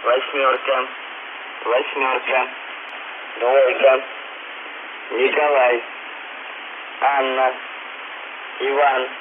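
Over noticeable background noise, a man speaks very slowly in a monotone, flat intonation. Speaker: radio station announcer. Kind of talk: numbers station message read. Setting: shortwave radio. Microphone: two way radio.

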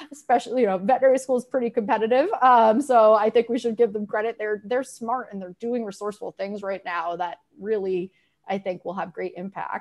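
With an American accent and a normal speaking voice, a woman talks at a fairly quick pace at a fairly high pitch, using ordinary pitch variation and big swings in loudness over a quiet background. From Massachusetts (Grafton); Massachusetts. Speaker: veterinary marketing consultant; guest. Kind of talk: casual panel discussion. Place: home room.

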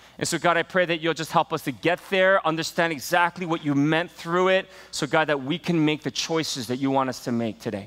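With music in the background, a man talks at a fairly quick pace with hardly any pauses and ordinary pitch variation. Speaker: pastor. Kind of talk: sermon. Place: church. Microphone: headset.

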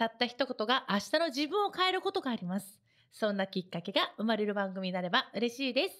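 The voice moves at a fairly quick pace with very wide pitch swings and big swings in loudness over a quiet background. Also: woman, fairly high pitch for a woman. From Japan, Kagoshima; Japan. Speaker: radio host and singer; radio show host. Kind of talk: radio talk show. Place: studio. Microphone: studio mic.

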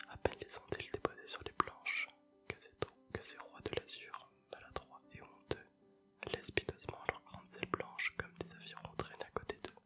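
Whispering with big swings in loudness, a man speaks over faint music in the background. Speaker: ASMR creator. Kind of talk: poetry reading. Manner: whispered, soft, slow. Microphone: earbuds.

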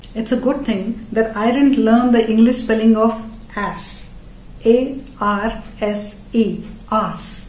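A woman with an Indian accent speaks very slowly at a fairly high pitch with monotone, flat intonation, and audible room echo. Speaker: comedian. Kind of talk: stand-up comedy. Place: home room.

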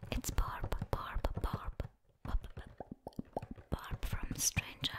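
A soft-spoken woman whispers. Her pace is very slow. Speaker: ASMR creator. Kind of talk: whispered ASMR show-and-tell. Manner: soft close-mic ASMR whisper, repeating. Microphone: studio mic.

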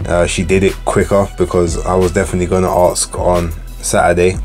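A man's words come at a moderate pace, with faint music in the background. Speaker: boxing podcast host. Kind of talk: commentary. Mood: frank, critical.

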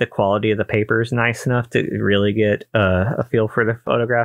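Words come out at a fairly brisk clip. Nothing much is heard behind them. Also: man. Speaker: photography youtuber. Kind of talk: casual vlog chat. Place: home room. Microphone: studio mic.

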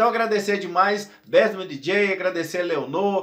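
Noticeable background noise sits under the voice. The tone is animated at a moderate pace, with ordinary pitch variation. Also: man. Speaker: DJ and YouTuber. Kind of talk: casual vlog to camera.

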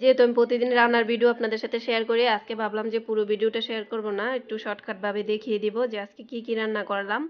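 A woman speaks at a fairly high pitch with monotone, flat intonation and big swings in loudness. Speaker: cooking vlogger. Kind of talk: casual vlog narration.

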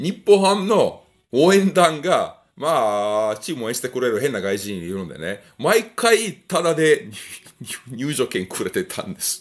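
Against a quiet background, a man talks fairly slowly with vocal fry. His pitch swings very widely and his loudness shifts in big swings. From Europe. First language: a European language (speaking Japanese). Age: middle-aged. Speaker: gun review YouTuber. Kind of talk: casual vlog monologue. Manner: relaxed. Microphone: phone near.

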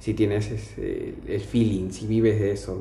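Audible room echo and light background noise accompany a man speaking with a Lima accent. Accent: Peruvian (Lima) Spanish. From Lima, Peru. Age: 20s. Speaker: financial auditor; interviewee. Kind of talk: casual interview monologue. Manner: hesitant, many fillers. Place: home room. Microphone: camera far.

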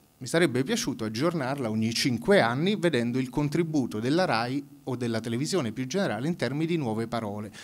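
A man talks very fast at a medium pitch. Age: 30s. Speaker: public debate speaker. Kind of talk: public debate talk.

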